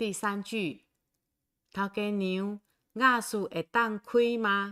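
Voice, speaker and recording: Recorded very cleanly with a silent background and a dry, close sound free of echo, the bright, sharp voice moves at a very slow pace with ordinary pitch variation. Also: woman. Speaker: Taiwanese language teacher. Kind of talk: livestream language lesson. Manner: slow, repetitive.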